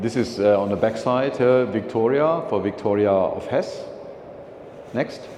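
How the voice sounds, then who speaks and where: The voice moves at a fairly slow pace with very even loudness and ordinary pitch variation, against noticeable background noise. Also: man, medium pitch for a man. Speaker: philately speaker. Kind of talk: slide presentation talk. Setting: meeting room with audience. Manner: halting, many fillers.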